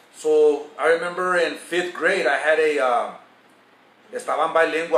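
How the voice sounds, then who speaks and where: A man's high-pitched voice, with noticeable background noise and audible room echo. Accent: Spanish. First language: Spanish. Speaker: vlogger giving advice. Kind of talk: casual storytelling monologue. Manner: casual, profane, code-switching.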